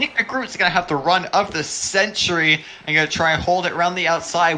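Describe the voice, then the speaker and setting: A man at a fairly quick pace and fairly high pitch, with noticeable background noise. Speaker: sim racing commentator. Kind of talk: live commentary. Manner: animated.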